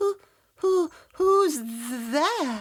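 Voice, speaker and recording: A shaky, high-pitched, put-on character voice carries the lines. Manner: quivering, frightened.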